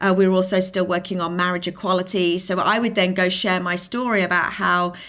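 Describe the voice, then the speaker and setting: A British accent at a moderate pace, on a very clean recording with a silent background. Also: woman. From England, Lincolnshire. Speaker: filmmaker and inclusion advocate. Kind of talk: interview.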